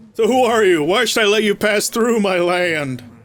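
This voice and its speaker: A man puts on a pompous character voice pitched high. He keeps a moderate pace. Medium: actual play. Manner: pompous, haughty.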